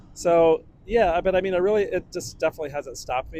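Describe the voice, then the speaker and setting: Fairly quick speech from a man against noticeable background noise. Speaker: street photographer. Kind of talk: casual interview chat. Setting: outdoors on city riverwalk. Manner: slightly slurred speech due to hearing loss; hesitant, many fillers.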